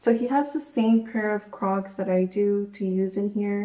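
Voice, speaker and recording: A woman with a dark, mellow tone speaks at a fairly slow pace. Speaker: home vlogger. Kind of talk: casual vlog chat. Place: home room. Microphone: phone near.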